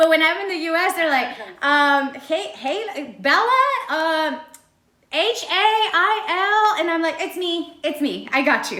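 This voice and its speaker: A woman's raised, projected voice, extremely high and bright, sharp in tone, at a fairly slow pace with audible room echo. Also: lively intonation. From Texas border, Laredo. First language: Spanish. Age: 30s. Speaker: singer interviewed on radio. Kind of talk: interview.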